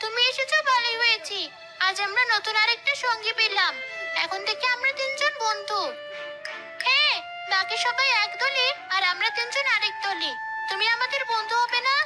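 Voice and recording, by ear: A woman performs a cartoonish character voice at an extremely high pitch with a bright, sharp tone. She keeps a moderate pace and ordinary pitch variation over faint music in the background.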